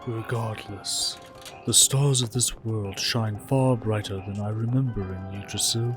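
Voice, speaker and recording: A man's put-on character voice at a medium pitch and a fairly slow pace, with clear music in the background. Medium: fan dub. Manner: deadpan, exasperated.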